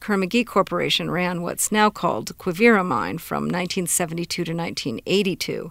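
In a very clean recording with a silent background, a woman speaks at a fairly low pitch and fairly slow pace, with ordinary pitch variation and vocal fry. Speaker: radio producer reporter. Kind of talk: scripted narration.

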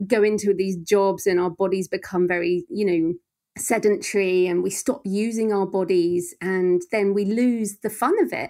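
A woman with an English accent speaks at a moderate pace and medium pitch, her dark, mellow tone held in fairly even intonation, on a very clean recording with a silent background. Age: 40s. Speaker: thriller author. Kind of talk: interview.

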